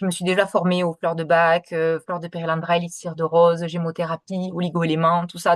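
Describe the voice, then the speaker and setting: Her pitch is fairly low for a woman. She speaks at a moderate pace. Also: quiet background. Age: 30s. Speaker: kinesiologist and essential oils seller. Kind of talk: sales pitch presentation. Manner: hesitant, many fillers; talkative.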